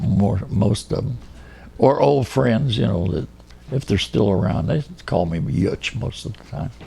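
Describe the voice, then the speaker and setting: A man with a US Midwestern accent, fairly slow, with very wide pitch swings. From Kansas City, Kansas. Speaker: oral history interviewee. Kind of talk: oral history interview. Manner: halting.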